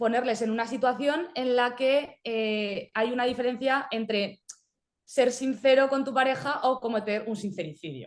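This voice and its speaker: A woman with a high voice talks, her pitch varying in an ordinary way. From Spain. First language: Spanish. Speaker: film director and writer. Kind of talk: video call interview.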